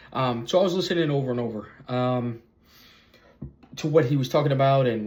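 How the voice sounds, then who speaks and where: Noticeable background noise sits behind the voice. A man at a medium pitch talks at a very fast pace. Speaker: YouTuber, vlogger. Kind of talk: casual vlog monologue. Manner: halting, many fillers and repetitions.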